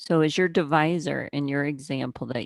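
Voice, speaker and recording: Vocal fry runs through a woman's fairly quick speech, with ordinary pitch variation. The sound is dry and close, with no echo. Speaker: math instructor. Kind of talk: oral exam with student over video call. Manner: fast.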